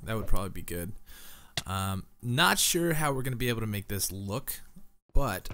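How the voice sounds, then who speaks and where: A man with a bright, sharp tone speaks at a moderate pace with ordinary pitch variation. Audible room echo surrounds his voice. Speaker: gaming youtuber. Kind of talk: casual let's play commentary. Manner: relaxed, filler-heavy.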